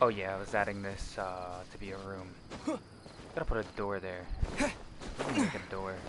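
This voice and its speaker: There is noticeable background noise and audible room echo as a man with a fairly low pitch speaks at a moderate pace with fairly even intonation and long, frequent pauses. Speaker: video game streamer. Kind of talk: live gameplay stream. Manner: casual, filler-heavy with frequent swearing; raised, adjusted higher streamer voice. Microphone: too quiet at first, moved closer to mic.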